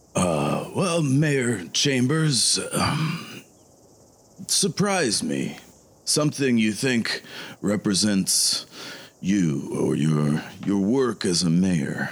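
A man's put-on character voice, medium-pitched with very wide pitch swings, at a very slow pace with long, frequent pauses. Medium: actual play. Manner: grandiose, preacherly.

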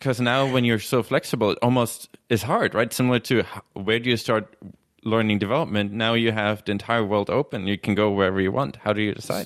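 With a German accent, a man speaks at a very fast pace and very even loudness. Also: medium pitch for a man, fairly even intonation. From Germany. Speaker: podcast co-host and conference organizer. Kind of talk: casual chat. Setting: video call.

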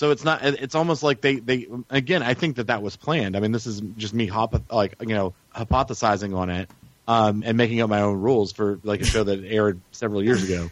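A man with a medium-pitched voice speaks at a fairly quick pace. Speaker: podcast guest, TV show superfan. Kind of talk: casual chat. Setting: phone call.

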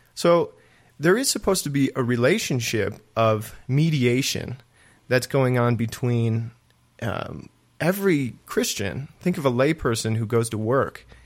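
In a very clean recording with a silent background, a man with a normal speaking voice and medium pitch talks at a fairly slow pace. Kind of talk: casual chat about faith. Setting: studio.

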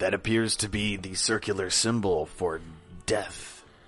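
A man's fairly low-pitched, put-on character voice with clear music in the background. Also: moderate pace. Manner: ominous.

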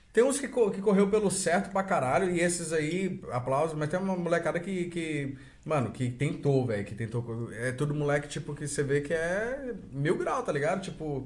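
A man talks at a moderate pace with hardly any pauses, his pitch fairly high and his intonation lively. Audible room echo surrounds the voice. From Brazil. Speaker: podcast host. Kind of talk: casual chat.

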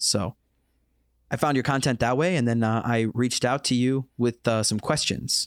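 This man has a plain, everyday voice with a General American accent, medium pitch and fairly even intonation. He keeps a moderate pace and very even loudness in a very clean recording with a silent background. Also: dry, close sound with no echo. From United States. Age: 20s. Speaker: podcast host. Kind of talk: casual chat.

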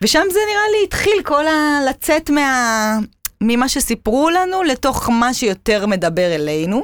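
A high-pitched woman's voice with very wide pitch swings and very even loudness. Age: 30s. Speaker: cancer survivor. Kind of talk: casual interview. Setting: studio.

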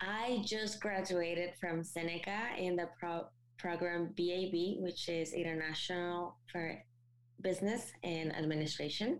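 This woman speaks with a Mexican accent at a fairly slow pace, her pitch fairly low with ordinary variation. Her loudness stays very even. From Mexico. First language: Spanish. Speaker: recent graduate and co-founder. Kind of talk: interview.

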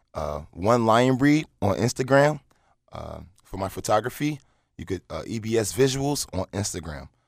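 In a very clean recording with a silent background, a man with a plain, everyday voice speaks at a moderate pace and medium pitch, his intonation lively and his loudness swinging widely. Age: 20s. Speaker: entrepreneur and adult entertainer. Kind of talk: casual interview.

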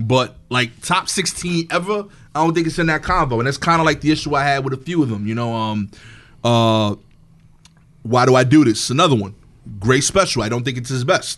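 A man talks at a fairly quick pace with lively intonation, in a New York accent. Music plays in the background. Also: medium pitch for a man. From East New York, Brooklyn. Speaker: stand-up comedian. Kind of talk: casual chat.

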